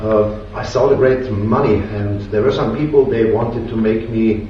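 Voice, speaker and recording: Speech in a German accent with fairly even intonation, audible room echo and noticeable background noise. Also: man. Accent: German-speaking accent in English. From Austria. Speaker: DIY inventor. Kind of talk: tutorial. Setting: home workshop. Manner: halting.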